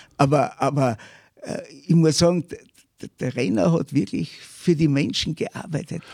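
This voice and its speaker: A man's fairly high voice with vocal fry and lively intonation, at a fairly slow pace with long, frequent pauses. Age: old. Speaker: historian. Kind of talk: interview.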